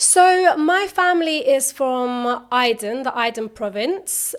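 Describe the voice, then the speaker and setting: Lively intonation marks this voice with a London accent, heard on a very clean recording with a silent background. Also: woman. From South London. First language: Turkish. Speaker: singer. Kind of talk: podcast interview. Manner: casual, filler-heavy.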